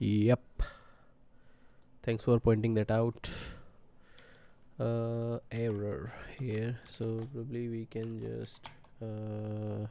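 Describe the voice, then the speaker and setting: In an Indian accent, the speaker goes at a very slow pace with long, frequent pauses. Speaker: programming streamer. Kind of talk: live coding tutorial. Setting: live stream. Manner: soft-spoken, talking to himself; halting.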